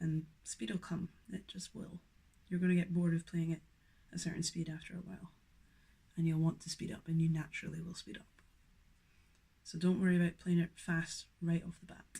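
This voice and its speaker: A fairly quick Scottish accent broken up by long, frequent pauses. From Scotland. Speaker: guitar teacher. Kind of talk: tutorial. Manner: casual, with fillers.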